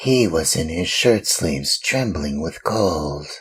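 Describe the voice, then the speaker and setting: A put-on character voice at a fairly slow pace. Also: man, very deep, low pitch for a man. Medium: read story. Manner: ingratiating, courteous.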